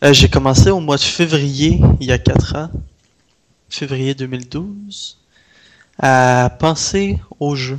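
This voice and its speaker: Speaking very slowly with long, frequent pauses, a man with a Canadian French accent and a fairly high pitch shows big swings in loudness and ordinary pitch variation. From Canada. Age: 20s. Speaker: indie video game developer. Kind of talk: interview.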